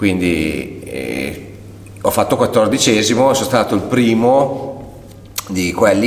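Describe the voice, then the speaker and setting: A man at a very slow pace with lively intonation, amid noticeable background noise and audible room echo. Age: 40s. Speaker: masters CrossFit athlete and gym owner. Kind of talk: casual interview. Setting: in his gym.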